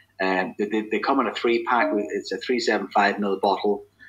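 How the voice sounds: At a moderate pace, a man with a fairly low pitch speaks in a fairly bright tone that has a slightly husky edge and fairly even intonation.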